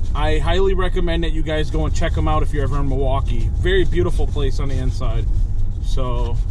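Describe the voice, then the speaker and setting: Over clear music in the background, a man talks at a fairly quick pace in a dry sound with no echo. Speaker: driver vlogger. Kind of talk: casual vlog chat. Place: car. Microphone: phone near.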